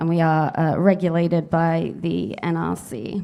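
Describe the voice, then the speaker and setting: The voice has a dark, mellow tone with a British accent. The recording is very clean, with a silent background. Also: woman. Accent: UK. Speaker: nuclear fuel industry executive. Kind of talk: conference panel remarks. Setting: conference panel with audience.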